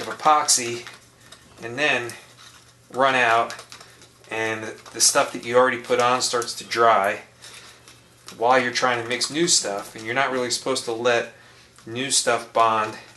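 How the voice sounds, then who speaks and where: Over noticeable background noise, a man mumbles at a medium pitch and moderate pace, in a monotone, flat delivery with big swings in loudness and long, frequent pauses. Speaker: RC model airplane builder. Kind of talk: tutorial. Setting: home basement workshop. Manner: mumbling a little; casual, conversational.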